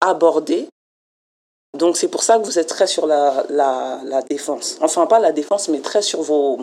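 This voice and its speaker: This woman talks at a fairly slow pace with a fairly low pitch. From France. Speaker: community program coordinator. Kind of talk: interview.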